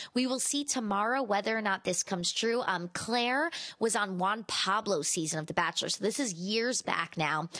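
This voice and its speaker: A woman with a fairly high pitch uses a plain, everyday voice at a moderate pace. Her intonation is lively and her loudness very even. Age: 30s. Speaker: pop culture podcast host. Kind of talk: casual celebrity gossip roundup.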